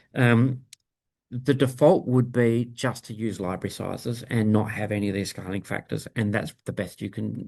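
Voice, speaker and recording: Against a quiet background, a man with a medium-pitched voice speaks at a moderate pace with fairly even intonation. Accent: Australian. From Australia. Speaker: bioinformatics workshop instructor. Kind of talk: technical workshop tutorial. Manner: casual with frequent fillers (um, uh).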